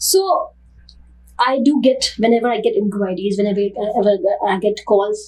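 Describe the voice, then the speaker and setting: A woman's fairly high voice with an Indian accent and ordinary pitch variation. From northern India. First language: Hindi. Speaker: dance teacher and academy founder. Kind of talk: interview.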